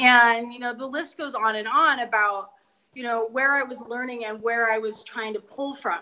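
Using a plain, everyday voice, a woman with an American accent speaks at a moderate pace, her fairly high pitch held in fairly even intonation. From US West, Denver, Colorado. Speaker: author. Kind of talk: interview.

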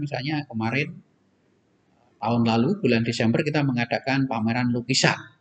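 Talking at a very fast pace, a man uses a medium pitch. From East Java, Indonesia. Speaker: professor and university rector; professor. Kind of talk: interview. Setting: studio. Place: hall.

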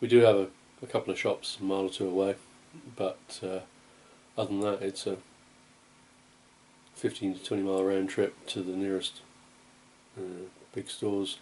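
Here a man speaks at a moderate pace. His pitch is fairly low. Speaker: home vlogger. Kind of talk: casual vlog chat. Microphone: phone near.

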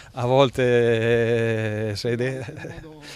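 A man talks with fairly even intonation, recorded with a dry sound and no echo. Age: 50s. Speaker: football coach. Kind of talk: press interview. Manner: halting, many fillers. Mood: relaxed, smiling at times. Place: garden. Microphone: handheld.

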